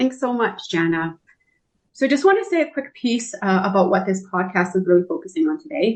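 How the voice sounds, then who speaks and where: A woman with a Canadian accent speaks at a fairly quick pace. Her voice is somewhat breathy and makes very wide pitch swings. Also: fairly high pitch for a woman. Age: 40s. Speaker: podcast moderator, counseling psychology student. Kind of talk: panel discussion.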